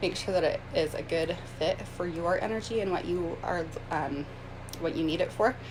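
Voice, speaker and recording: With audible room echo and noticeable background noise, a woman talks at a moderate pace in a fairly low pitch with ordinary pitch variation. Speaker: astrologer and energy healing coach. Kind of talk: live video tutorial. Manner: hesitant, many filler words.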